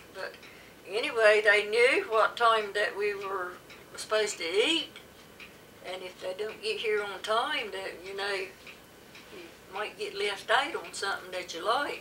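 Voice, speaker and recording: A woman speaks fairly slowly in a Southern US accent, her pitch fairly high with ordinary variation. Her loudness swings widely, over light background noise. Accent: rural Southern American. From coastal North Carolina. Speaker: dialect study interviewee. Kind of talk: interview answer. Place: home room. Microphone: camera far.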